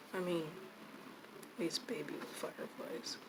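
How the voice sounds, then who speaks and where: Noticeable background noise surrounds a woman speaking at a fairly slow pace. Her pitch sits fairly low. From US, moved around (California, Tennessee, Nevada). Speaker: artist, video creator. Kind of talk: casual chat while painting. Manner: soft-spoken; rambling, hesitant.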